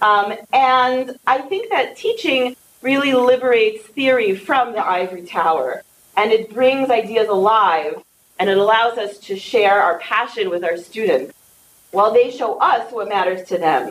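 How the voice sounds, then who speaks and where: A woman with an unremarkable speaking voice and an American accent speaks fairly slowly at a fairly high pitch, her intonation lively, over light background noise. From New York. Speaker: teaching center director. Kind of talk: introductory remarks. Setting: stage with audience. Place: hall.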